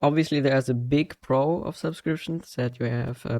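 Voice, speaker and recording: In a dry, close recording with no echo, a man with a non-native accent speaks at a moderate pace, his fairly high voice dark and mellow in tone with ordinary pitch variation. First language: not English. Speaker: gaming video creator. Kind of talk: casual monologue. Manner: halting, many fillers.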